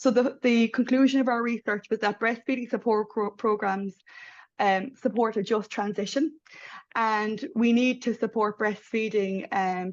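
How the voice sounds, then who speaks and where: Here is a woman with an Irish accent and a fairly high pitch. Her intonation stays fairly even, and her pace is moderate. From Ireland. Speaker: midwife researcher. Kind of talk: panel presentation. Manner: hesitant, many fillers.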